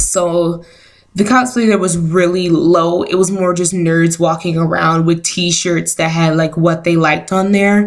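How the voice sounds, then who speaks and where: The woman speaks at a fairly slow pace in a fairly low pitch. Her intonation is fairly even and her loudness very even. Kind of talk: casual talk to camera. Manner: hesitant, lots of filler words.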